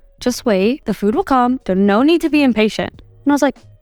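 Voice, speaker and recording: Over background music, a woman speaks with a high pitch, lively intonation and an animated tone, her voice dry and close with no echo. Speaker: podcast host. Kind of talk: casual solo podcast monologue. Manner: loud.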